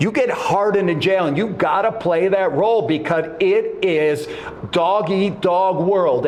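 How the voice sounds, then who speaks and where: A man with a high pitch speaks at a fairly slow pace. Audible room echo and noticeable background noise surround him. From Montreal, Canada. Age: 60s. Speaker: former wrestler and author. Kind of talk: casual chat. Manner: halting, repeats words.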